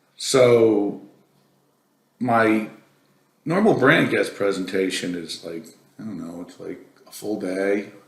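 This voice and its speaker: Audible room echo surrounds a man whose fairly low pitch shows ordinary pitch variation. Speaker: company president presenting a technical webinar. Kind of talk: casual aside to viewers; technical presentation. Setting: virtual presentation.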